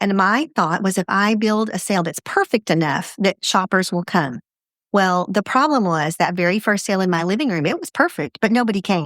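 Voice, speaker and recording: A normal speaking voice from a woman at medium pitch, fairly quick and lively in intonation, dry and close with no echo, on a very clean recording with a silent background. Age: 60s. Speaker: franchise business founder and CEO. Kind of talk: podcast interview.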